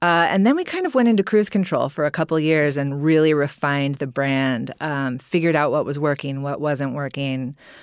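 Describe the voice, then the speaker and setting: Speaking at a fairly quick pace with hardly any pauses, a woman uses a very deep, low pitch and ordinary pitch variation on a very clean recording with a silent background. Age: 40s. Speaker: beauty business founder. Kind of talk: casual chat.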